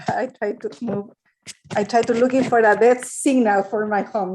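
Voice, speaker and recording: A woman with a Spanish accent, fairly high-pitched, at a moderate pace with ordinary pitch variation. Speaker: juvenile justice practitioner. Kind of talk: audience comment. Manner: halting.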